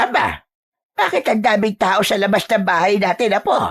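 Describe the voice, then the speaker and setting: A woman's put-on character voice at medium pitch, monotone and flat in intonation, very even in loudness, with a dry, close sound and no echo. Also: moderate pace. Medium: audio drama. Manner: brisk, scolding.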